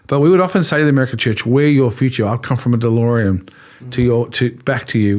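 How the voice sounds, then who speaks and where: In an Australian accent, a man talks at a fairly quick pace, his pitch medium with ordinary variation. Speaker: pastor. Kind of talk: interview conversation. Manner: animated.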